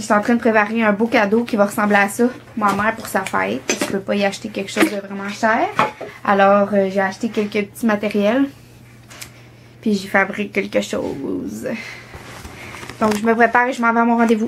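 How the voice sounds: A woman talks at a fairly quick pace and a medium pitch. Her pitch moves very little.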